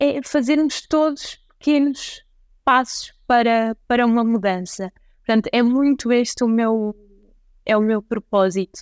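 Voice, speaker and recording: A woman with an ordinary speaking voice, fairly high in pitch, fairly slow, with ordinary pitch variation, very even loudness, and a dry, close sound with no echo. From northern Portugal, Santa Maria da Feira. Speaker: entrepreneur, chocolate company founder. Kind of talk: interview.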